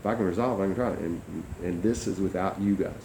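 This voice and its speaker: A man's dark, mellow tone comes through with audible room echo. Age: 60s. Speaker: company founder and mediator. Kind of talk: monologue to camera. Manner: hesitant, many fillers.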